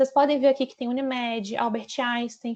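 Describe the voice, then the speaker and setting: A woman with a high-pitched voice against a quiet background. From Brazil, Minas Gerais. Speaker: account manager presenting training. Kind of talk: training presentation. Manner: conversational, frequent fillers.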